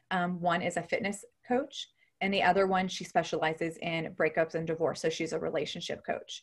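With an American accent, a woman talks at a fairly quick pace. Her voice is fairly low and somewhat breathy. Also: ordinary pitch variation. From Ohio, US Midwest. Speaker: nurse and health coach. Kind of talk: interview.

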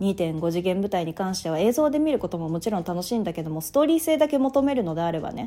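Over music in the background, a woman speaks at a medium pitch with lively intonation. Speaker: podcast host. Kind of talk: solo talk podcast monologue.

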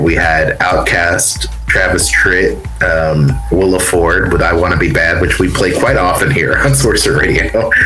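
Over music in the background, a man talks at a fairly slow pace with very even loudness. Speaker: radio host. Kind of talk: radio dj patter, anniversary show hosting with interviews. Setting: remote recording, poor internet, from a small cramped space. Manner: upbeat, warm, polished radio-announcer delivery.

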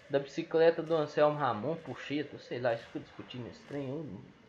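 A man speaks moderately fast, his pitch varying in an ordinary way. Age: 20s. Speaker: football fan podcaster. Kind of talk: casual solo commentary. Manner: animated.

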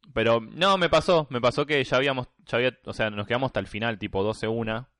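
A man with a Rioplatense accent talks at a medium pitch with ordinary pitch variation, in a dry, close sound with no echo and a quiet background. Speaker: podcast co-host. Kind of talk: casual chat.

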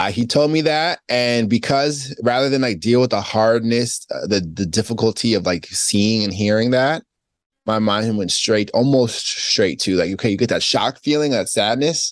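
This man has a normal speaking voice with a medium pitch and an American accent. He moves at a moderate pace with ordinary pitch variation. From New York. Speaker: author. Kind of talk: casual chat.

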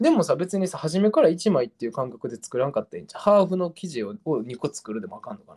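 A man's high voice at a very fast pace, with very wide pitch swings and big swings in loudness. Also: hardly any pauses. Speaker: podcast host. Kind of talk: casual chat.

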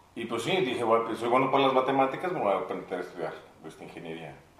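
A man's voice swings very widely in pitch, heard against noticeable background noise. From Mexico City. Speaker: musician and producer. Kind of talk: casual interview chat. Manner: halting, many repeated words.

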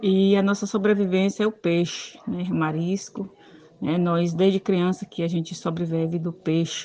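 The woman's voice is fairly low in pitch, and she speaks at a moderate pace. Her intonation is monotone and flat. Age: 50s. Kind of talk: recorded testimony.

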